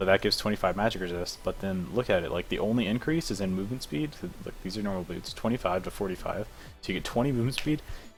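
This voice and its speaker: Very fast talk from a man in a fairly low pitch, ordinary pitch variation, music playing behind. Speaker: esports coach analyzing gameplay. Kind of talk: replay analysis commentary. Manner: casual, filler-heavy.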